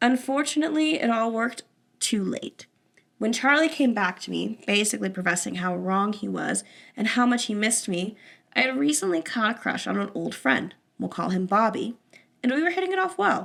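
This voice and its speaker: Using a put-on character voice, a woman speaks at a fairly quick pace in a raspy, fairly high pitch with very wide pitch swings. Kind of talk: casual podcast story reading. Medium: solo performance. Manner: casual, conversational.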